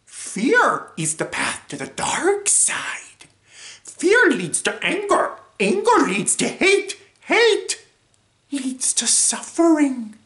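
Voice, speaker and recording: This is a put-on character voice at an extremely high pitch. It moves at a very slow pace. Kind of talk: inverted sentence order, sage-like.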